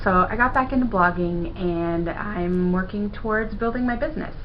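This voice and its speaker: A woman speaks at a moderate pace and a medium pitch, with audible room echo and noticeable background noise. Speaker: video blogger and web designer. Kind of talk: casual vlog monologue to camera.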